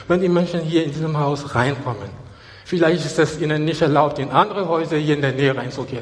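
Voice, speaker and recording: A man's fairly high pitch over noticeable background noise. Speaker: preacher. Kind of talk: sermon to a live congregation, with scripture reading and calls for praise. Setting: church. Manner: animated, urgent and exhortative, with repeated phrases and Hallelujah calls; stop-and-go delivery with repeated words and restarts.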